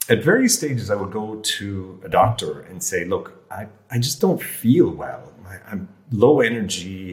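Against noticeable background noise, a man talks at a fairly slow pace with a medium pitch and ordinary pitch variation. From rural Ireland. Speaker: health coach, former airline lawyer. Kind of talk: casual chat.

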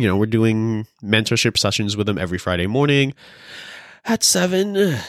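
Recorded very cleanly with a silent background, a man talks with an American accent. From California. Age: 30s. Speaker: podcast co-host. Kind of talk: casual chat.

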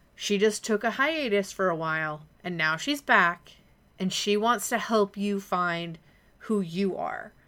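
The speech moves at a very slow pace. Its pitch varies in an ordinary way. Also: woman. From US Upper Midwest, Minneapolis. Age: 30s. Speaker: podcast host. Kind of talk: personal monologue.

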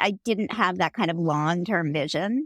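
A woman with a normal speaking voice and medium pitch talks at a fairly quick pace with lively intonation, in a dry, close sound with no echo on a very clean recording with a silent background. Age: 50s. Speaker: author and business founder. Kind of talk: casual interview.

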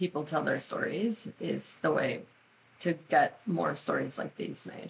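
The woman here speaks at a fairly low pitch. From Mexico. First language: Spanish. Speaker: film producer. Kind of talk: interview conversation.

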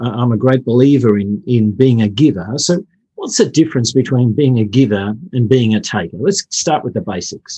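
A man speaks in a dark, mellow tone at a medium pitch. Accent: Australian. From Australia (Brisbane). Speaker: podcast co-host. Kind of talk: podcast interview. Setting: remote call.

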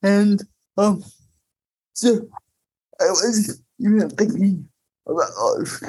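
A woman with a medium-pitched, somewhat breathy voice and a dark, mellow tone speaks at a very slow pace. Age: 40s. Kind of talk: panel discussion.

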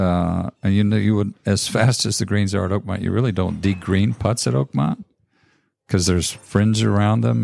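Here is a man with a plain, everyday voice and an American accent. He speaks at a fairly low pitch with ordinary pitch variation. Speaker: golf club professional. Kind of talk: interview. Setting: hotel room overlooking golf course.

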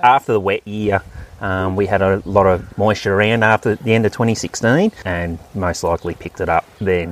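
In a rural Australian accent, a man speaks at a fairly low pitch with fairly even intonation. The sound is dry and close, with no echo. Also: moderate pace. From Australia, Victoria (Wimmera, near Donald). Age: 30s. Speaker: farmer. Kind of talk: interview. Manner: halting.

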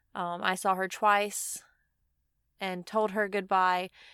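A woman with a Southern US accent talks at a very slow pace. Her intonation is monotone and flat, and the recording is very clean with a silent background. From Mississippi. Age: 20s. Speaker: podcast host, van lifer. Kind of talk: solo personal monologue. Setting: inside a van.

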